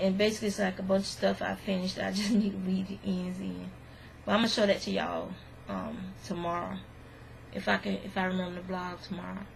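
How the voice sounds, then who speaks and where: A woman does a put-on character voice, raspy and delivered at a very fast pace. Light background noise sits behind her. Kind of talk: casual, chatty, vlog style.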